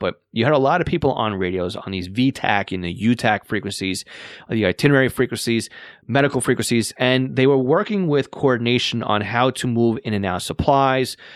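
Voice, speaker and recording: A man speaks with a Long Island accent at a fairly quick pace, with ordinary pitch variation. The recording is very clean, with a silent background. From Long Island, New York. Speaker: podcast host, radio scanner hobbyist. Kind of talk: casual podcast talk. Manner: halting, many fillers.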